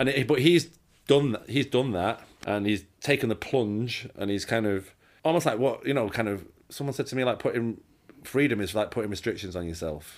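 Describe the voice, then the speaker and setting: On a very clean recording with a silent background, a man with a normal speaking voice and medium pitch talks fairly quickly with lively intonation. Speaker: set photographer. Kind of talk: casual interview chat.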